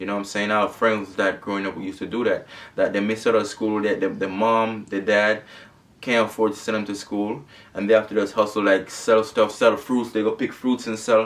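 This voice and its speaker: A man talks fairly quickly with a Jamaican accent. His intonation is monotone and flat. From Jamaica, Saint Thomas. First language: Jamaican Patois. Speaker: YouTuber. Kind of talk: casual Q&A vlog.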